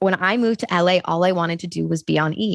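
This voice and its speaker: An unremarkable speaking voice from a woman, fairly low in pitch and moderate in pace, in a very clean recording with a silent background and a dry, close sound with no echo. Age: 30s. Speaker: journalist and TV host. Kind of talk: interview conversation.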